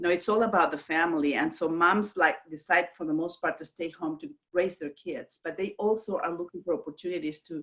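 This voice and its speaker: With a Mexican accent, a woman talks at a fairly quick pace in a fairly low pitch, with hardly any pauses. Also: ordinary pitch variation. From Mexico, Guadalajara. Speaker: direct selling leader. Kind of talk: business video call interview. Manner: animated.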